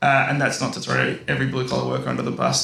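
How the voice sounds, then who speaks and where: Noticeable background noise runs under this man's voice. Audible room echo surrounds it. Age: 30s. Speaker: engineer in construction and operations. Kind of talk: panel discussion.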